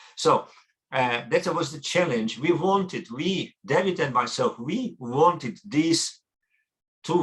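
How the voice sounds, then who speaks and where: A man with a Russian accent at a very slow pace. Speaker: academic researcher and translator. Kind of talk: conference talk. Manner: halting.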